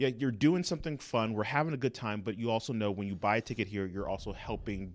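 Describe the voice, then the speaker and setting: On a very clean recording with a silent background, a man with a plain, everyday voice talks at a fairly low pitch with lively intonation. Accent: American. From Los Angeles (Inglewood). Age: 40s. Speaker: comedy producer and improviser. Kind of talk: interview.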